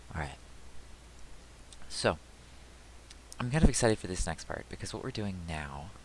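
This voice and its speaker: A man speaks with lively intonation. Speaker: game developer. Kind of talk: tutorial. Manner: loud; casual, halting.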